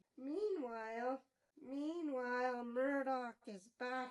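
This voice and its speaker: The voice speaks at a very slow pace. It is a cartoonish character voice. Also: female-sounding voice. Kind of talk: TV episode review. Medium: puppet. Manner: playful, enthusiastic.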